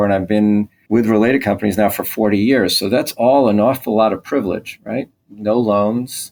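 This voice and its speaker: A man with a plain, everyday voice talks at a fairly quick pace, fairly low in pitch. His intonation is fairly even, and the recording is very clean with a silent background. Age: 60s. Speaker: real estate executive. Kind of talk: interview.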